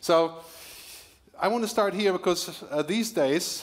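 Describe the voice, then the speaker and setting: A man's intonation is lively as he speaks at a moderate pace. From Germany. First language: German. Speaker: futurist keynote speaker and author. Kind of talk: keynote speech. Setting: stage with audience at corporate event.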